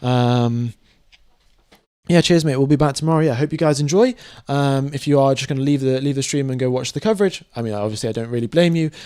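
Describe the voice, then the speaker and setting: A man talks at a medium pitch in a dark, mellow tone. His pitch varies in an ordinary way. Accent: British. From UK (born in Mumbai, moved young). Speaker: F1 live stream commentator. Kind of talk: live stream commentary and chat Q&A. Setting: live stream. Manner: casual, many fillers (um, uh).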